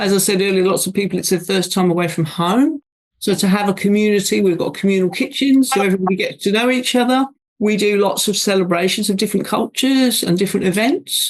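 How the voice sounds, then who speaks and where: Delivered at a very fast pace, the speech has very even loudness and ordinary pitch variation. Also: woman, medium pitch for a woman. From Scotland, raised in Essex, England. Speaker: general manager of a student residence. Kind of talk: interview answer.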